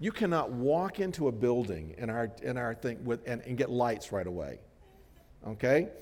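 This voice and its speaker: A medium-pitched male voice in an American accent, with vocal fry and very wide pitch swings. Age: 60s. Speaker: pastor. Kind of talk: sermon. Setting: church.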